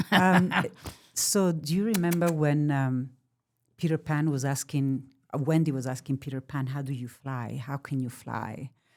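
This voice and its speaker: A woman with an Italian accent speaks at a very deep, low pitch and a moderate pace. Her pitch varies in an ordinary way on a very clean recording with a silent background. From Italy. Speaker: therapy dog expert. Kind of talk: podcast interview. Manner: halting; animated.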